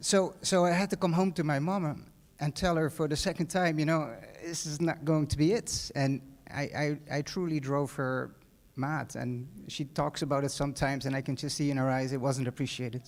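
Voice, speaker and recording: A man speaks with a Dutch accent. His pitch is fairly high and his pace fairly quick. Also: ordinary pitch variation, very clean recording, silent background. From Netherlands. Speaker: hotel manager. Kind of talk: graduation speech. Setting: stage with audience. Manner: halting, many fillers and repeats.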